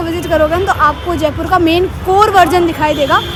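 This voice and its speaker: Against crowd noise and audible room echo, a woman with an extremely high pitch speaks at a moderate pace in a flat monotone. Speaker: travel vlogger. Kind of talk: travel vlog. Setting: outdoors. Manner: casual, conversational.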